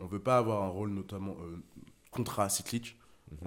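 A man speaks at a fairly quick pace. His fairly low pitch holds a fairly even intonation. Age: 20s. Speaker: venture capital investor. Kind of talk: casual interview.

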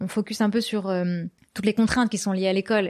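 A woman talks at a medium pitch. Her recording is very clean, the background silent. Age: 20s. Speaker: podcast founder. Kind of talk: interview. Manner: hesitant, many fillers.

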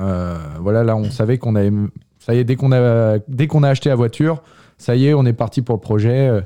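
A man's medium-pitched, dark, mellow voice, fairly quick, with ordinary pitch variation and very even loudness, on a very clean recording with a silent background. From France, Yvelines. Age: 20s. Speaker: biology student. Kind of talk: radio interview. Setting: radio studio. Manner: halting, many hesitations.

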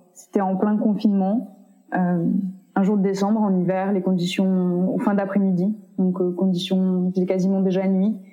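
There is audible room echo and noticeable background noise behind a woman's voice. She speaks with very even loudness and monotone, flat intonation. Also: medium pitch for a woman, moderate pace. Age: 20s. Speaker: activist and PhD student. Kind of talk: interview. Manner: hesitant, many fillers.

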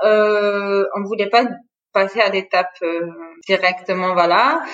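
Using a normal speaking voice, a woman talks at a fairly slow pace with medium pitch and fairly even intonation. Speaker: entrepreneur. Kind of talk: interview. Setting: online interview.

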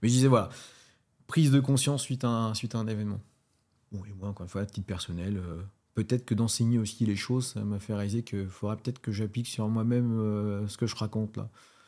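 Over a very clean recording with a silent background, a man with a fairly low pitch and a dark, mellow tone talks at a very fast pace with fairly even intonation. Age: 40s. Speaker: strength and conditioning coach. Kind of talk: casual interview.

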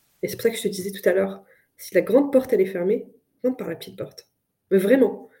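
The woman's voice is somewhat breathy, with a dark, mellow tone. Her pitch is medium, with ordinary variation. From France. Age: 30s. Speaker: business executive. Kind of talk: interview. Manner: halting.

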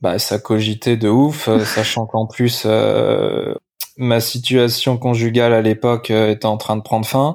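Speaking at a fairly slow pace, a man with a medium pitch keeps very even loudness and fairly even intonation. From France, Limoges. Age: 30s. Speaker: furniture designer. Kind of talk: storytelling interview. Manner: hesitant, many fillers.

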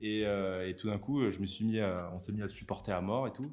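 This is a man speaking. His pace is moderate. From southern France. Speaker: YouTuber, rap analyst. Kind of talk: casual interview chat. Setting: studio. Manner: halting, many repetitions.

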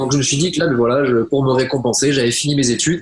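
A man's medium-pitched voice at a fairly quick pace, with fairly even intonation over noticeable background noise. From southwest France. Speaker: online marketing entrepreneur. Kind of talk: interview. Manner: hesitant, many fillers.

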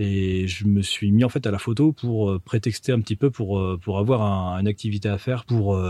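A man's fairly low, dark, mellow voice, dry and close with no echo, with hardly any pauses. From central France. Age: 30s. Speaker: photographer and videographer. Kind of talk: interview testimony.

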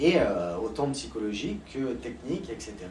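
A man talks with very wide pitch swings. Noticeable background noise and an audible room echo fill the recording. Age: 30s. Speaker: snowboard champion. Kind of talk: interview. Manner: halting, with many repetitions.

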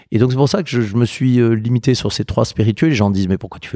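A man's dark, mellow tone at a medium pitch, with ordinary pitch variation. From France, southern Burgundy. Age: 50s. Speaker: spirits producer and distiller. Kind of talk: interview conversation. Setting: on a farm. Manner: halting, repeated words.

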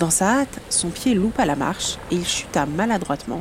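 A woman speaks fairly slowly in a gentle tone, with a fairly low pitch and very wide pitch swings. Noticeable background noise is present. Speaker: podcast host and illustrator. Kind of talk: bedtime story telling, fairy-tale narration; scripted podcast intro. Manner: soft, gentle, storyteller pacing.

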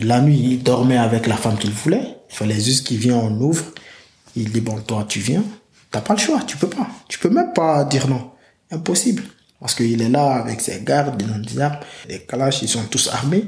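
A man speaks in an unremarkable speaking voice at medium pitch, keeping a moderate pace with lively intonation. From Guinea. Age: 20s. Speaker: migrant telling his story. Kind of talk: testimony.

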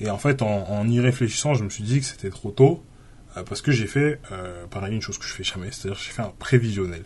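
Somewhat breathy speech at a fairly quick pace, with ordinary pitch variation, big swings in loudness and a quiet background. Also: man, fairly low pitch for a man. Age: 20s. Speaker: podcast host. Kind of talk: solo podcast monologue. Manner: halting, many fillers.

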